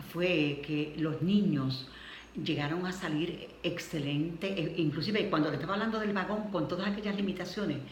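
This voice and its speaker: At a moderate pace and a fairly low pitch, a woman speaks with ordinary pitch variation amid noticeable background noise. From Puerto Rico. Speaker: retired schoolteacher. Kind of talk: interview answer.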